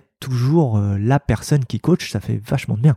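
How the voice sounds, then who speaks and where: Dark and mellow in tone and somewhat breathy, a man of medium pitch speaks at a moderate pace with ordinary pitch variation in a dry, close sound with no echo. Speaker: executive coach. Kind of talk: casual interview. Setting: rooftop venue. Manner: energetic.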